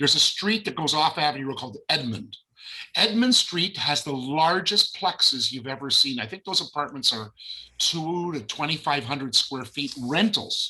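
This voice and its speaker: With a Canadian accent, this voice has a bright, sharp tone, a moderate pace and lively intonation. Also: man, fairly high pitch for a man. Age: 70s. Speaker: realtor and educator. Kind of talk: webinar discussion.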